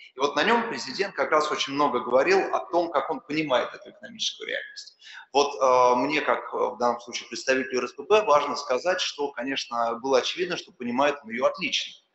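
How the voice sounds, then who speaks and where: Audible room echo fills the space. A man rushes through his words at a very fast pace. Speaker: business association adviser; speaker. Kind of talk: panel talk. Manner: formal. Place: hall. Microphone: podium.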